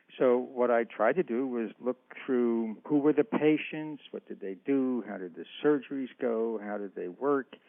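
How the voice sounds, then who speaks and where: A man with a normal speaking voice and medium pitch talks at a fairly slow pace with hardly any pauses. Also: ordinary pitch variation. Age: 60s. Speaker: author and historian. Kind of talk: interview.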